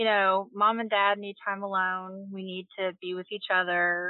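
A woman at a medium pitch, with a Kentucky accent. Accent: Southern US (Kentucky). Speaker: nurse. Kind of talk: casual interview.

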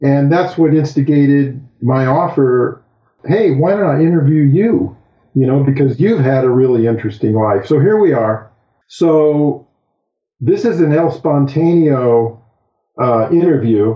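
An ordinary speaking voice with lively intonation, very even loudness and a fairly slow pace. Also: man, fairly high pitch for a man. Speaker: surfer and guest interviewer. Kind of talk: casual interview.

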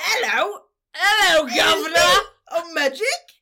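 In a put-on character voice with a British accent, the speaker uses an extremely high pitch at a moderate pace. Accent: British, exaggerated and poor. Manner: playful.

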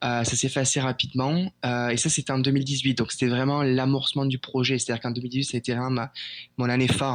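A man speaks with monotone, flat intonation in a dry, close sound with no echo. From France. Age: 20s. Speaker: airline pilot. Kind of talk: interview. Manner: halting.

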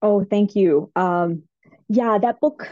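An American accent with a dark, mellow tone, in a dry, close sound with no echo. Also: woman. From Kentucky, US. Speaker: children's author and doctor. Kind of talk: interview.

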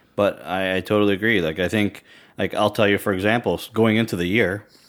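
In a very clean recording with a silent background, a man with a normal speaking voice talks fairly quickly at a fairly low pitch, with fairly even intonation. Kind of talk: casual banter between two hosts, fantasy hockey talk. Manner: relaxed, laughing, chatty.

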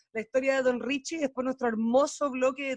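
A man speaks in a Chilean accent, the sound dry and close with no echo. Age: 30s. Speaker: podcast host. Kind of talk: casual chat. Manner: animated.

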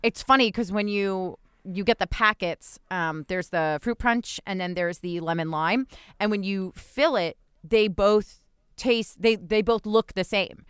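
A woman with an American accent and a normal speaking voice talks at a fairly slow pace and medium pitch, with ordinary pitch variation, in a dry, close, very clean recording with a silent background. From New Jersey. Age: 30s. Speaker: podcast co-host. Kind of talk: casual chat. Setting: home closet recording.

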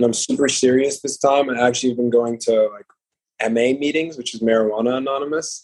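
With a New York accent, a man talks at a fairly quick pace in a medium pitch. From New York, Uptown Manhattan. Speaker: clothing designer. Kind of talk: casual chat.

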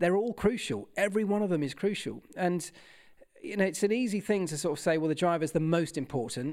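A man with a southern English accent speaks at a fairly quick pace in a high pitch, with ordinary pitch variation, on a very clean recording with a silent background. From southern England, Kent. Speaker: former motorsport mechanic and TV presenter. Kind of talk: interview.

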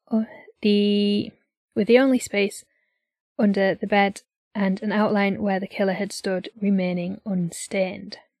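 The pace is moderate. A woman talks with a British accent. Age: 20s. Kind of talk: reading aloud.

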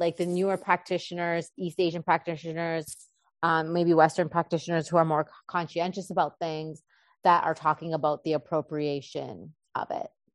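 A woman with a Canadian accent talks at a moderate pace in a plain, everyday voice, pitched fairly low. The sound is dry and close with no echo, over a quiet background. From Canada, Winnipeg. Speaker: acupuncturist. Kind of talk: interview.

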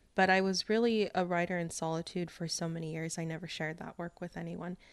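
A woman talks at a moderate pace in an ordinary speaking voice at medium pitch. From Mexican-American. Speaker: poet. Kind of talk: interview.

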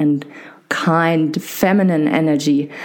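Noticeable background noise is present. The speech moves at a fairly slow pace. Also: woman. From Germany. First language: German. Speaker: podcast host and physiotherapist. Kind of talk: casual interview conversation. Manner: hesitant, many fillers.

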